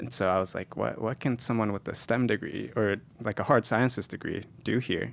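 On a very clean recording with a silent background, a man with an American accent speaks fairly quickly at a medium pitch, with fairly even intonation and vocal fry. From San Jose, California. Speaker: recent graduate and medical school applicant. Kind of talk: casual interview.

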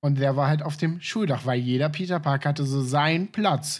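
Heard in a very clean recording with a silent background, a man has an ordinary speaking voice with a fairly high pitch and ordinary pitch variation. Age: 20s. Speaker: podcast co-host. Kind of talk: casual chat. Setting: voice chat.

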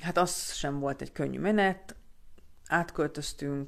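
A woman talks at a fairly slow pace. Her pitch is very deep and low. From Hungary, Budapest. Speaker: vlogger. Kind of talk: personal storytelling monologue. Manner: hesitant, many fillers and repetitions.

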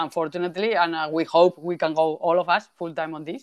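A woman with a normal speaking voice, fairly low pitch and a moderate pace, in a very clean recording with a silent background. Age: 30s. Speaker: game developer. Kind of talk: interview.

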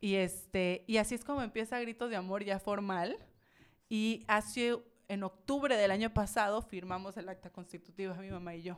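Here is a woman with an ordinary speaking voice, medium pitch and a moderate pace. Her loudness swings widely while her intonation stays fairly even, on a very clean recording with a silent background. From Mexico, Villahermosa, Tabasco. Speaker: charity founder and entrepreneur. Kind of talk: casual interview.

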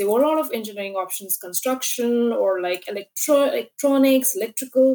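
This woman talks at a very fast pace, her pitch showing ordinary variation. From India. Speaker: business analyst. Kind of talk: interview.

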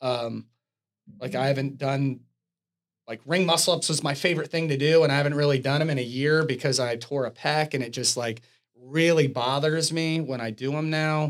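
A man with an unremarkable speaking voice talks at a moderate pace in a fairly high pitch, his intonation fairly even. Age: 40s. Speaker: fitness podcast co-host, gym owner. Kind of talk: casual chat. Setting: studio.

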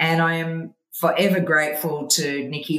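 A woman speaks at a very slow pace with an Australian accent. Her voice is very deep and low in pitch. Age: 50s. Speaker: investment firm CEO. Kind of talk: interview. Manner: animated, laughs often.

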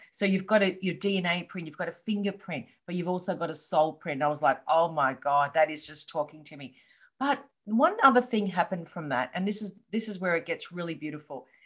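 A woman with an Australian accent talks fairly quickly in a fairly low pitch. Her intonation is lively, with big swings in loudness. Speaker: coach and entrepreneur. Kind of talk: interview. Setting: video call.

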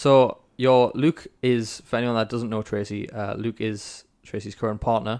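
An ordinary speaking voice delivers fairly even intonation with hardly any pauses. The recording is very clean, with a silent background. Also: man, medium pitch for a man, moderate pace. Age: 20s. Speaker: podcast host. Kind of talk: interview conversation.

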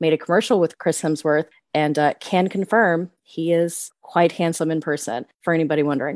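There is a quiet background behind this woman. She has an American accent and a fairly low pitch. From Texas. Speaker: podcast host. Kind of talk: casual chat.

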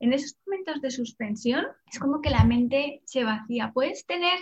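A woman in a Castilian accent speaks at a moderate pace with a high pitch and lively intonation. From Spain, Salamanca. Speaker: meditation teacher. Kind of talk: interview.

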